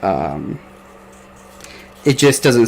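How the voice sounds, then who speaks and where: Noticeable background noise accompanies a man speaking at a very slow pace with an American accent. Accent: slight Southern-sounding. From US Midwest. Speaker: podcast host. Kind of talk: casual chat. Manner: animated.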